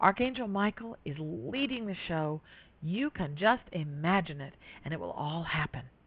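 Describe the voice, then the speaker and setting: A woman's fairly low voice at a moderate pace, with very wide pitch swings and big swings in loudness. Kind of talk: guided meditation.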